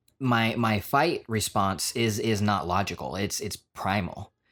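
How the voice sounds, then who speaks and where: With music in the background, a man at a fairly low pitch talks at a very slow pace, his pitch varying in an ordinary way. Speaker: vlogger and podcast co-host. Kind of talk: casual chat.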